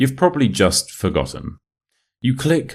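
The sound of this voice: On a very clean recording with a silent background, a man speaks with a British accent. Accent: British, modern RP.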